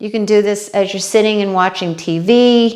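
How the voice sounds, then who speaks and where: A woman with an American accent speaks with fairly even intonation. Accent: New York accent, comes out at times. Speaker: fitness trainer. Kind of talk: exercise tutorial. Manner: casual, conversational.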